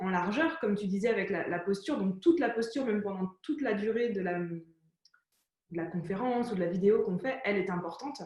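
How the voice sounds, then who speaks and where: Fairly high in pitch and with lively intonation, a woman with a plain, everyday voice speaks at a fairly quick pace. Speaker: entrepreneur interview host. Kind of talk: conversational interview.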